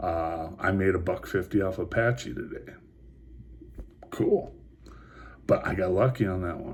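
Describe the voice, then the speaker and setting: A quiet, somewhat breathy man with a very deep, low voice, a fairly slow pace and long, frequent pauses. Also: ordinary pitch variation. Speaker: vlogger talking stocks and crypto. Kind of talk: casual vlog monologue. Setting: motel room at night. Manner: hushed, keeping quiet; halting, many fillers and repeats.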